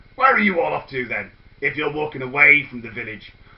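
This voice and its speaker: In a put-on character voice, a man speaks fairly quickly in a fairly high, gravelly voice. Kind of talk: comic overacting. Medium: read story. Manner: gruff, feigning friendliness.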